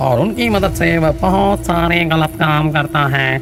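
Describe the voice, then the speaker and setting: A cartoonish character voice plays over loud music in the background. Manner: deferential, keeps saying "maharaj".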